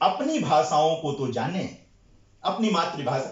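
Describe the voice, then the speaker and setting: A man talks with lively intonation. Noticeable background noise and audible room echo are present. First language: Bhojpuri (speaking Hindi). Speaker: Hindi scholar / lecture speaker. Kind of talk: lecture at a seminar. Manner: hesitant with frequent fillers.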